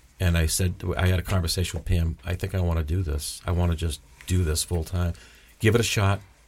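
In an American accent, the voice is somewhat breathy, with fairly even intonation. The pace is fairly quick. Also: man, very deep, low pitch for a man. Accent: slight Boston accent, mostly suppressed. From Massachusetts, Boston South Shore. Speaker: aspiring actor. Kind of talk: interview.

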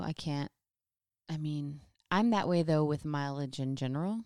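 Soft-spoken with a dark, mellow tone, the voice comes through in a very clean recording with a silent background and a dry, close sound with no echo. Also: woman. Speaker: co-host, runner. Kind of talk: casual chat podcast.

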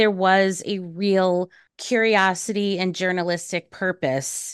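This woman has an unremarkable speaking voice, medium in pitch with ordinary pitch variation. The background is quiet. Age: 30s. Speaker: podcast host and journalism teacher. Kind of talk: interview conversation.

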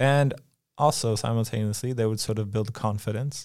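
A man talks at a moderate pace in a medium pitch with an ordinary speaking voice. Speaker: podcast co-host. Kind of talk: podcast interview. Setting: studio.

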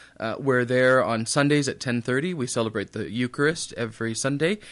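In an unremarkable speaking voice, a man at medium pitch speaks at a moderate pace with ordinary pitch variation against a quiet background. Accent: American. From western Minnesota. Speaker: priest. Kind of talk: radio interview. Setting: radio studio.

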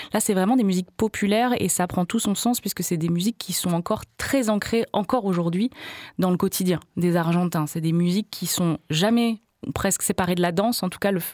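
Using a plain, everyday voice, a woman of medium pitch talks at a fairly quick pace with ordinary pitch variation in a dry, close sound with no echo. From France, Hautes-Alpes. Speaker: singer and musician. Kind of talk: radio interview. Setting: studio.

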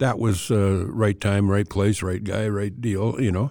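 On a very clean recording with a silent background, a man speaks at a moderate pace in a fairly low pitch with a dark, mellow tone. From western Canada (Alberta). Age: 70s. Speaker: veteran sports writer. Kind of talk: casual interview.

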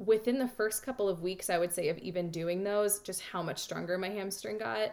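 With ordinary pitch variation and a medium pitch, a woman talks in an ordinary speaking voice. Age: 30s. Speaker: marathon runner and yoga teacher. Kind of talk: interview.

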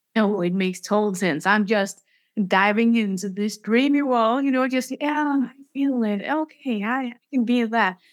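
A woman with a normal speaking voice, fairly high pitch and ordinary pitch variation, at a moderate pace. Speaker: podcast host. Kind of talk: interview. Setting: remote recording, host mic problem.

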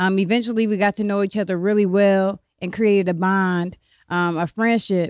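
With an American accent, a woman talks at a moderate pace in a medium pitch, her intonation flat and monotone, the sound dry and close with no echo on a very clean recording with a silent background. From Ohio, Columbus and Cleveland. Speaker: poet and author. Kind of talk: casual chat.

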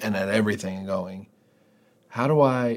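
On a very clean recording with a silent background, a man talks at a moderate pace in a plain, everyday voice. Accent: American. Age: 40s. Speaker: pastor. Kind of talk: casual chat.

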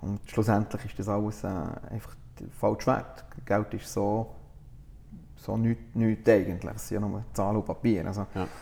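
Pausing long and often, a man with a fairly low pitch and vocal fry speaks at a fairly slow pace in a monotone, flat intonation. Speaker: coffee roaster and business owner. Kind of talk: interview. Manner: halting, many fillers.

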